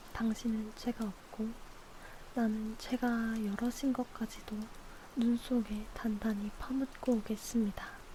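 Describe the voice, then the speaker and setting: Over noticeable background noise, a woman with a fairly high pitch speaks very slowly in a monotone, flat delivery. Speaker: ASMR streamer. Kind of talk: ASMR book reading with rain sound. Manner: soft, intimate, slow.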